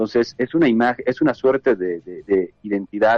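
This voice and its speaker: A man at medium pitch and a moderate pace, with ordinary pitch variation and music in the background. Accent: Andean. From Bolivia. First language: Quechua (speaking Spanish). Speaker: activist. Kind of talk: interview. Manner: halting.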